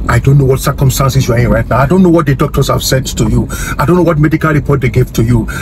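A man's voice comes through with a dry sound, no echo, and noticeable background noise. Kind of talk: fervent prayer of agreement, spoken as an intercession for viewers. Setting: online video, addressing viewers directly. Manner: earnest, urgent and declarative, rising in intensity with repeated phrases; preacher-like, commanding, repeating 'amen' and 'so let it be'.

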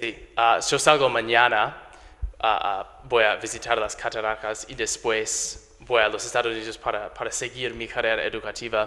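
Speaking at a moderate pace with an English accent, a man holds a medium pitch and a monotone, flat intonation while his loudness swings widely. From US, Delaware. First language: English (speaking Spanish). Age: 20s. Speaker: English teacher; visiting English teacher. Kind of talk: interview. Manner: halting, many fillers and repetitions. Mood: grateful, warm. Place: studio. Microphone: handheld.

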